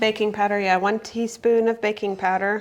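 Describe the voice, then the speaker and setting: A woman speaks over noticeable background noise. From Germany, moved to US at about 14. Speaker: home cooking video host. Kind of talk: cooking tutorial. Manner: casual, filler-heavy.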